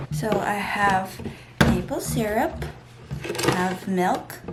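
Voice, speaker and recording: A woman's voice comes through noticeable background noise, with audible echo from the room. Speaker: lifestyle vlogger. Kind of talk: casual vlog narration.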